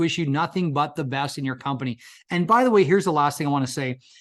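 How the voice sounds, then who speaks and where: A man talks at a very fast pace with a fairly high pitch. The background is quiet and his pitch variation is ordinary. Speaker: insurance agency recruiter. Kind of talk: sales pitch. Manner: animated.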